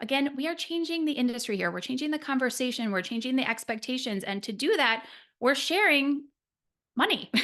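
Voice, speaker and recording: A woman's high, bright, sharp voice at a fairly quick pace against a quiet background. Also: lively intonation. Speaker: business coach for nutritionists. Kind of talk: webinar presentation. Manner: fast.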